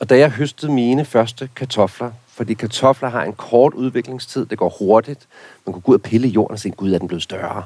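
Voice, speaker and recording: With an unremarkable speaking voice, a man talks at a moderate pace and medium pitch, with ordinary pitch variation. His loudness swings widely, and the sound is dry and close with no echo. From rural Denmark. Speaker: garden expert. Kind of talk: casual chat.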